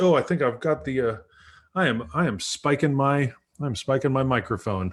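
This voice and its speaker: The intonation is lively as this man talks. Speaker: pastor and livestream show host. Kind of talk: casual chat. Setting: livestream video call. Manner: loud.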